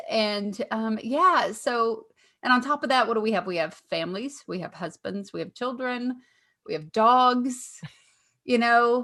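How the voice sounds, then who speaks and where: A woman's fairly high voice in a Southern US accent, fairly slow and lively in intonation, over a quiet background. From Kentucky, US South. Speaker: podcast co-host, comedian. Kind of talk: casual chat.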